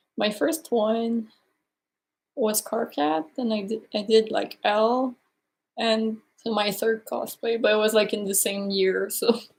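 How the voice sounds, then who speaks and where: At a very slow pace, the speaker uses ordinary pitch variation in a strong French Canadian accent. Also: woman, fairly high pitch for a woman. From Quebec, Canada. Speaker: cosplayer. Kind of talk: casual chat.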